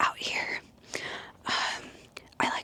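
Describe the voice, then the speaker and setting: A very slow whisper with noticeable background noise behind it. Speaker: ASMR creator. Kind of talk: casual talk to camera, outdoor ASMR walk. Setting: outdoors in open desert. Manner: soft-spoken, whispering.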